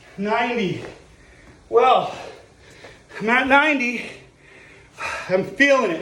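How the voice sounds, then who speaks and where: In a raised, projected voice at an extremely high pitch, a man speaks at a very slow pace amid audible room echo. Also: ordinary pitch variation. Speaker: physical education teacher. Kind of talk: exercise tutorial. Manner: panting, halting.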